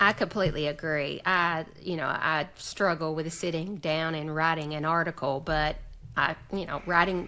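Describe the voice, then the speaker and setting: A bright, sharp voice in a Southern US accent, flat monotone intonation at a moderate pace, on a very clean recording with a silent background. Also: woman, fairly low pitch for a woman. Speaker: association executive director and podcaster. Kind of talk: casual chat. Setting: podcast recording.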